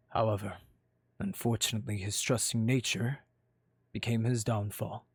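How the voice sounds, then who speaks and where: A man speaks in a put-on character voice at medium pitch and a moderate pace, on a very clean recording with a silent background. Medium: machinima. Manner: smooth, mock-sorrowful.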